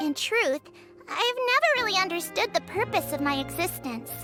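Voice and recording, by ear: A put-on character voice with a bright, sharp tone, big pitch swings and a moderate pace, faint music in the background. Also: woman, extremely high pitch for a woman.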